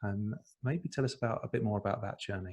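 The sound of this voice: A man talks at a fairly quick pace in a fairly low voice with a slightly mellow tone. His pitch varies in an ordinary way.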